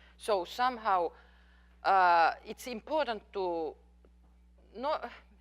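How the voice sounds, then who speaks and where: With a Finnish accent, a woman speaks at medium pitch, her voice swinging very widely up and down. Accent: Finnish accent, noticeable. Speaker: professor. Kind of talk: lecture Q&A. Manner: halting, with fillers.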